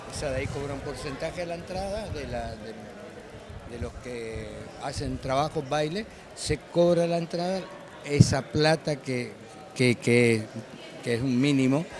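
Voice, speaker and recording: A man with a fairly high voice speaks at a fairly slow pace, with ordinary pitch variation, big swings in loudness, long and frequent pauses, and noticeable background noise. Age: 70s. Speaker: chamamé musician. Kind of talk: interview. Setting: festival.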